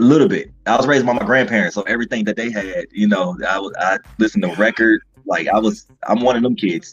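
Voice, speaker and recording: Music is heard behind the voice. Delivery is very fast. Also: man, medium pitch for a man, ordinary pitch variation. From Ohio, Lorain near Cleveland. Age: 30s. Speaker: stand-up comedian. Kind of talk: casual chat.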